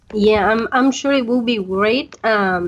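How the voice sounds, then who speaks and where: At a fairly slow pace, a woman speaks with a fairly high pitch over noticeable background noise. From Veracruz, Mexico. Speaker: tourism concierge. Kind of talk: interview answer.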